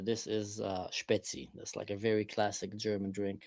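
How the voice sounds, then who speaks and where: A man with a slight Israeli accent at a moderate pace. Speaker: live streamer. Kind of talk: casual chat.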